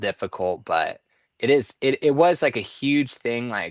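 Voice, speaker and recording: A man with a Southern California accent at a moderate pace, dry and close with no echo, over a quiet background. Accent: skater-style Southern California speech. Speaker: treasure hunt puzzle box maker. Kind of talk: casual chat. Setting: live stream.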